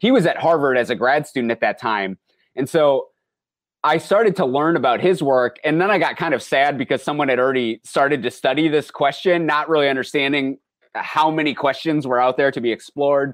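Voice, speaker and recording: A man with a normal speaking voice, fairly high in pitch, at a fairly quick pace, with very even loudness and ordinary pitch variation, against a quiet background. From rural Minnesota, US. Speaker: anthropology professor. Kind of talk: interview.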